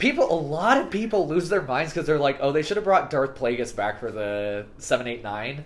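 A man with an American accent speaks at a fairly quick pace. His fairly high pitch moves in very wide swings. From California, Fresno. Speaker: podcast guest, former missionary. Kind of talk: casual chat.

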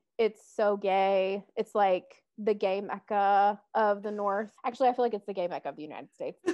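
A woman with a plain, everyday voice speaks at a medium pitch. She uses fairly even intonation with hardly any pauses. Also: moderate pace. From US South, Metro Atlanta. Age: 20s. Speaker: podcast co-host, social work student. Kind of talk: casual chat.

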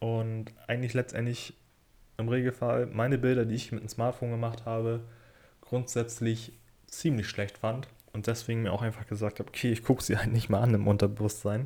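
A man's somewhat breathy, dark, mellow voice at medium pitch, monotone and flat in intonation, at a fairly quick pace. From northern Germany, Kiel. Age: 20s. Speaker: podcaster and part-time photographer. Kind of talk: casual solo podcast monologue.

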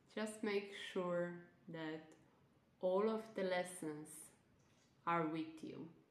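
With ordinary pitch variation, the speech comes at a very slow pace with long, frequent pauses over noticeable background noise. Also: woman. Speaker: nutritionist and self-love coach. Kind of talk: guided meditation; casual podcast intro and outro. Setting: online live event recording. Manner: soft, slow, soothing.

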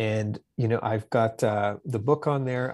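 A man speaks with a Canadian accent at a medium pitch, in an unremarkable speaking voice. His intonation stays fairly even. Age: 40s. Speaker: author and construction business owner. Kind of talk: interview. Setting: video call.

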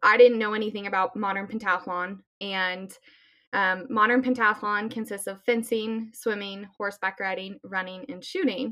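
The voice has a bright, sharp tone and an American accent. Its intonation is fairly even, but its loudness swings widely. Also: woman, medium pitch for a woman, moderate pace. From Colorado, US. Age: 20s. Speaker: Olympic athlete. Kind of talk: interview.

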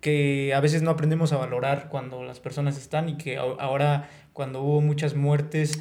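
The speech moves at a moderate pace with monotone, flat intonation over noticeable background noise. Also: man, fairly high pitch for a man. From Hidalgo, Mexico. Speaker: podcast host. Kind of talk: casual chat.

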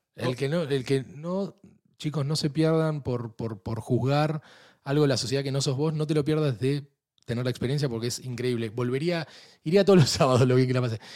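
Spoken at a fairly quick pace with ordinary pitch variation, the clip carries a plain, everyday voice. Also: man, fairly high pitch for a man. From Argentina. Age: 40s. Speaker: podcast host. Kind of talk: casual chat. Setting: studio.

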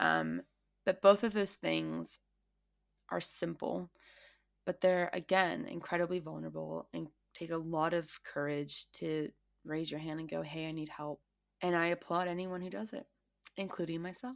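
A woman at a moderate pace with long, frequent pauses, on a very clean recording with a silent background. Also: big swings in loudness. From United States. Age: 20s. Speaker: podcast host. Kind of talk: personal monologue.

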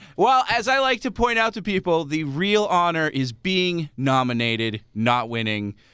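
A man talks in a high, bright, sharp voice with very wide pitch swings and hardly any pauses. The recording is very clean, with a silent background. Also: moderate pace. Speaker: podcast co-host, marketing background. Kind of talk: casual chat.

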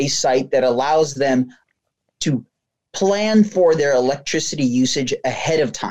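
This is a man with an ordinary speaking voice and an American accent. His pitch sits fairly high, and his intonation is lively. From New Jersey. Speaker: business operations and sales lead. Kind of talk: interview.

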